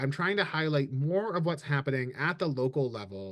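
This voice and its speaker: An ordinary speaking voice with lively intonation moves at a moderate pace over a quiet background. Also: man. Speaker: communications director hosting a webinar. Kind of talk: webinar presentation. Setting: video call.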